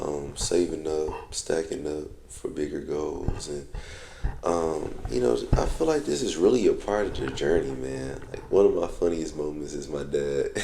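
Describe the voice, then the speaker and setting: Noticeable background noise and audible room echo around a man's fairly slow delivery. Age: 20s. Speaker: vlogger. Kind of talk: casual vlog monologue.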